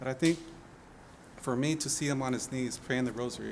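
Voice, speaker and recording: In an American accent, a man talks at a fairly quick pace in an ordinary speaking voice, medium in pitch with fairly even intonation. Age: 40s. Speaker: seminarian. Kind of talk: interview testimony.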